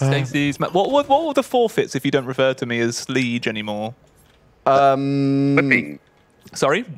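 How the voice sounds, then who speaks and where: A man's fairly high voice with a southern English accent, ordinary pitch variation, and a moderate pace. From southeast England. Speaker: gaming streamer. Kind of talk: casual chat. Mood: joking, playful. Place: home room. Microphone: headset.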